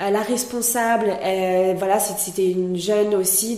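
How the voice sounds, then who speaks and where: Intonation stays fairly even. The recording carries audible room echo and noticeable background noise. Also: woman. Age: 30s. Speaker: entrepreneur, founder of a natural cosmetics brand. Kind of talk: interview. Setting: in the mountains with the host.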